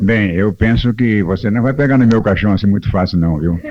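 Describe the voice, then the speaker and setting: A man at a moderate pace and fairly low pitch, amid noticeable background noise. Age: 70s. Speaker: radio broadcasting pioneer. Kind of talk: casual chat. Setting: radio studio. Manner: animated.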